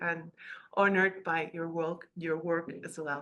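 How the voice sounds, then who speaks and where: With a slight Spanish accent, a woman talks at a moderate pace. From Peru. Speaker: participant on a video call. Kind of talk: casual testimony.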